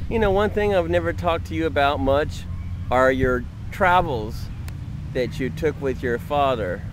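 Very wide pitch swings come with long, frequent pauses. The sound is dry with no echo, and background noise is noticeable. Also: man. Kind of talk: casual conversation. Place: open country. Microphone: phone near.

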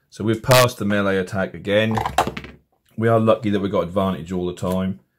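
Someone with an English accent talks at a fairly quick pace over noticeable background noise. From England. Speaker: tabletop game tutorial maker. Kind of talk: tutorial.

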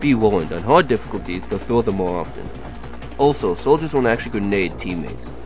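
A man with a fairly low pitch, talking at a very fast pace with very wide pitch swings over music in the background. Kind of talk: game tutorial narration.

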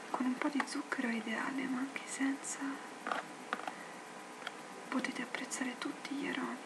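A soft-spoken woman whispers at a moderate pace over loud background noise. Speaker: ASMR creator. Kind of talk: ASMR tea review talking to camera. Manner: whispered, soft-spoken. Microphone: webcam.

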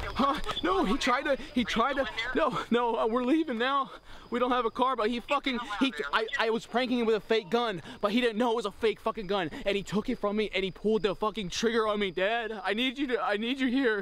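Against noticeable background noise, a man with an extremely high pitch talks at a fairly quick pace, his pitch variation ordinary and his loudness very even. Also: dry sound with no echo. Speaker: vlogger. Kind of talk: panicked phone call and ranting. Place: open country. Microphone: phone near.

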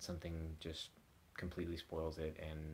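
A man talks at a fairly quick pace. His voice is somewhat breathy, with light background noise. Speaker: vlogger. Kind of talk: casual vlog chat. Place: home room. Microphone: phone near.

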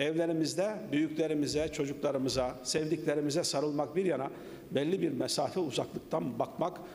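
Ordinary pitch variation from a man at a moderate pace. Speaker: speaker. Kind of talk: formal speech. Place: hall. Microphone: podium.

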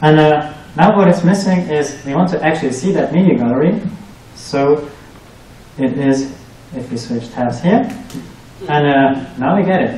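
A man talks at a moderate pace with long, frequent pauses. Audible room echo fills the recording. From Germany. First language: German. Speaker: researcher and PhD student; presenter. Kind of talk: tech talk presentation. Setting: meetup with live audience. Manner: hesitant, many fillers. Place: meeting room.

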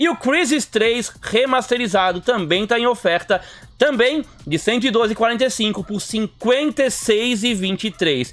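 A man's extremely high voice at a very slow pace. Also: ordinary pitch variation. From Brazil. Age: 40s. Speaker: gaming YouTuber. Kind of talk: video commentary on game deals. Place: home room.

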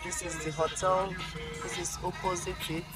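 The sound is dry with no echo, and music plays clearly in the background. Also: man. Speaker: vlogger. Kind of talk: casual vlog commentary. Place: car. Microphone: phone near.

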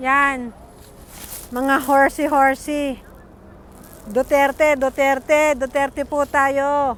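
A woman speaks at a high pitch with a monotone, flat intonation. Her pace is very slow, broken by long, frequent pauses. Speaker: vlogger commenting on a rally. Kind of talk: angry rant at critics, sarcastic and combative, while commenting on a rally. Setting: outdoors at a rally, filming on the spot. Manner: loud, fiery and confrontational, snapping at 'bashers' with threats and jabs.

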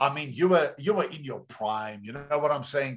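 Here a man speaks with a South African accent. His voice is somewhat breathy, and his intonation is lively. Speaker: pastor. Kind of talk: sermon. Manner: animated. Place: home room. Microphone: video call.

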